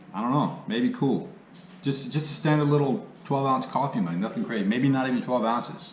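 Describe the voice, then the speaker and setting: A man talks with very wide pitch swings. Room echo is audible. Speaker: part-time reseller, YouTuber. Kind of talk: casual video tutorial. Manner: casual, filler-heavy.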